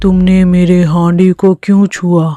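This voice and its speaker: A cartoonish character voice at a middle pitch delivers its lines with monotone, flat intonation. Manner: commanding, dramatic.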